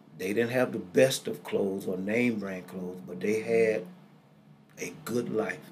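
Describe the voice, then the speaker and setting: A man with a fairly low pitch and ordinary pitch variation speaks through noticeable background noise and audible room echo. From US South, Greenville, Mississippi. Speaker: pastor. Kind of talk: interview, life story testimony. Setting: studio.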